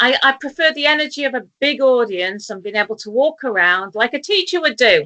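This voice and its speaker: A woman speaks in a high voice with very wide pitch swings. Her tone is bright and sharp. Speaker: talk show host. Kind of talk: casual interview chat. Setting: video call from kitchen table. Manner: slow.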